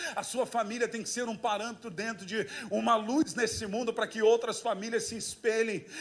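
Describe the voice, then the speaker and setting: A man speaks at a moderate pace with a high-pitched voice. His tone is animated. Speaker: pastor. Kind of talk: sermon.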